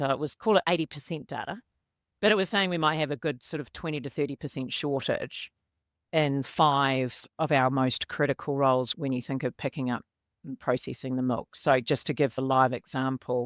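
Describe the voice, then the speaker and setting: A woman with a New Zealand accent speaks at a moderate pace and a very deep, low pitch, with ordinary pitch variation. The sound is dry and close with no echo, on a very clean recording with a silent background. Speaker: corporate people and culture director. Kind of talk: podcast interview.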